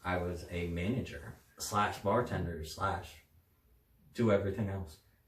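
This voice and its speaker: A man with an American accent and a very deep, low pitch, talking at a fairly slow pace, with audible room echo and noticeable background noise. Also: ordinary pitch variation. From southern Virginia, then Seattle from third grade. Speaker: fiance being interviewed, bar manager. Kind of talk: casual interview chat.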